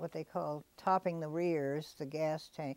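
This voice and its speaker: A woman speaks with a very deep, low pitch and a dark, mellow tone. The sound is dry with no echo. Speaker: World War II veteran. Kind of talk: interview answer. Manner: hesitant, many fillers. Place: studio. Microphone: lapel.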